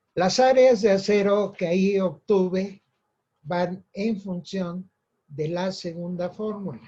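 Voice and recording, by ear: A man speaks in a high pitch with a dark, mellow tone. His pace is slow. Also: ordinary pitch variation.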